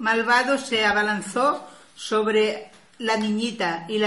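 This recording is plain reading aloud.

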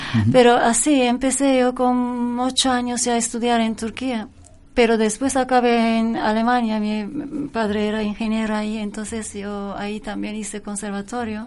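With a fairly high pitch, a woman talks at a moderate pace in a monotone, flat intonation. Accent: slight Turkish. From Turkey. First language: Turkish (speaking Spanish). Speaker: singer, pianist and composer. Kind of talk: casual interview chat.

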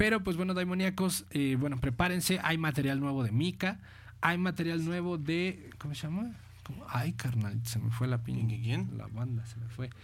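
Lively intonation and a somewhat breathy quality mark this man's voice. He keeps a moderate pace, with audible room echo around him. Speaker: internet radio host. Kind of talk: casual radio chat.

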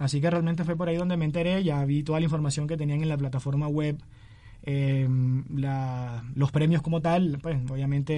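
The voice belongs to a man, fairly high in pitch, somewhat breathy, with a dark, mellow tone. He speaks at a moderate pace with ordinary pitch variation. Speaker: journalism student and writer. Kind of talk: interview.

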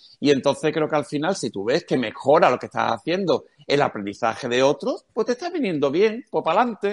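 A man with a fairly high, vocal-fried voice speaks at a fairly quick pace with hardly any pauses and very wide pitch swings, in a dry, close sound with no echo over a quiet background. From Cádiz, Andalusia, Spain. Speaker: education speaker and marketing specialist. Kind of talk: interview.

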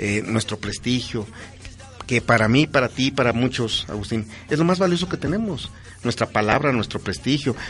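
A man at medium pitch and moderate pace, ordinary pitch variation, music in the background. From Pachuca, Hidalgo, Mexico. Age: 50s. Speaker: politician. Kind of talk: interview.

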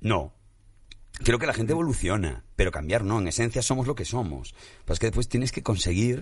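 Against a quiet background, a man with vocal fry talks at a fairly quick pace, medium in pitch and with lively intonation. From Spain, Galicia. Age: 40s. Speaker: musician and comedian. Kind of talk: casual chat.

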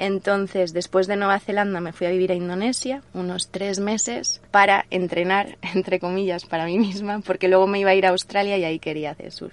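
A woman talks fairly quickly in an ordinary speaking voice. Her pitch is medium and her intonation fairly even. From Spain, Alicante province. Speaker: traveller, former radio presenter. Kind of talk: interview, casual chat. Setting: in person, same room as host.

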